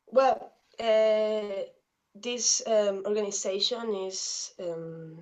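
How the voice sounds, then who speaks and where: The speaker has a Spanish accent and fairly even intonation. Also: woman. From Mexico, Veracruz. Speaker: activist and journalist. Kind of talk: interview. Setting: video call. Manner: halting.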